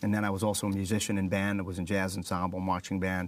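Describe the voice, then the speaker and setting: This man has a New York accent and a fairly low pitch. He talks at a fairly quick pace. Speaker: motivational speaker, former fighter pilot. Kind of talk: interview.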